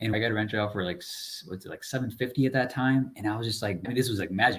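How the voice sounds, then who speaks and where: A man's fairly low, somewhat breathy voice at a very fast pace, fairly even in intonation, on a very clean recording with a silent background. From immigrant from a developing country, raised in US (Chicago area). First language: not English. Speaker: multifamily real estate investor. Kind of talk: podcast interview. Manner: casual, conversational.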